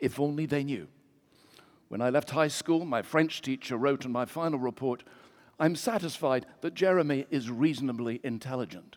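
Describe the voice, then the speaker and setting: A man speaks at a fairly high pitch with an English accent, in ordinary pitch variation and at a moderate pace. The recording is very clean, with a silent background. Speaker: preacher. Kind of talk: sermon. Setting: church.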